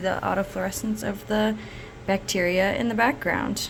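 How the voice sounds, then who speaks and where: A woman's speech at a moderate pace against noticeable background noise. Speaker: lab researcher. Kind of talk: tutorial. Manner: casual, halting with many fillers.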